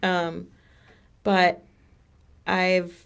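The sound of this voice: A woman talks at a very slow pace in a fairly low pitch with vocal fry and monotone, flat intonation. The recording is very clean, with a silent background.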